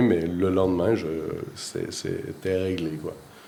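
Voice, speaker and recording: In a very deep, low pitch with a dark, mellow tone, a man talks at a fairly slow pace with ordinary pitch variation, and audible room echo is present. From Quebec, Rimouski (eastern Quebec). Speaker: winemaker. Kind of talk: interview. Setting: at a winery in Switzerland. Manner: hesitant, many fillers and repetitions.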